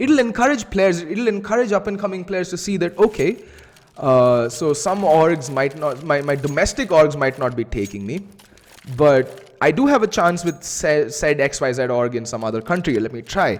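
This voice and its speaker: A man speaks with a strong Indian accent at a moderate pace, his fairly high voice swinging very widely in pitch. His tone is animated. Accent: Indian accent, self-described as strong. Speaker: esports caster. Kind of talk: live commentary; casual chat. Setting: live stream.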